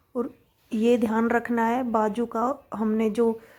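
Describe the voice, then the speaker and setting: A woman's fairly high voice in a very clean recording with a silent background. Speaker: sewing tutor. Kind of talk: tutorial. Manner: casual, conversational.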